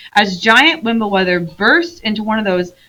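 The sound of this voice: Reading in an unforced voice.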